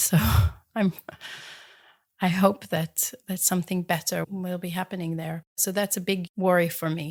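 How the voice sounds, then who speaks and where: Someone speaks in an Israeli accent at a moderate pace with monotone, flat intonation. The recording is very clean with a silent background and a dry, close sound with no echo. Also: woman. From Israel, Jerusalem. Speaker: metal artist. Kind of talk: interview.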